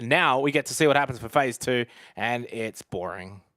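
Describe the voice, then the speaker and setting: A man puts on a raspy character voice of medium pitch, with big swings in loudness at a moderate pace, on a very clean recording with a silent background and a dry, close sound with no echo. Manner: disappointed.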